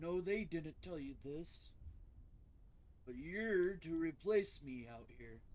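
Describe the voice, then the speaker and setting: A man's put-on character voice, high-pitched, at a fairly slow pace with long, frequent pauses and big swings in loudness. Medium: actual play. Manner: folksy, plainspoken.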